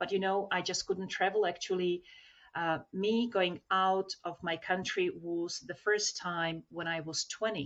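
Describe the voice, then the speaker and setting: The woman's pitch sits at a medium level. Her intonation stays fairly even. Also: fairly slow pace. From Slovakia (former Czechoslovakia). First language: Slovak. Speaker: self-development trainer. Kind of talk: podcast interview.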